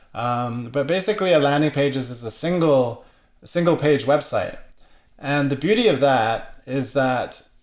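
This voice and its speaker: Speaking at a moderate pace, a man with an unremarkable speaking voice has a fairly high pitch. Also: ordinary pitch variation. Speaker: web marketing presenter. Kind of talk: webinar presentation. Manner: casual with many fillers.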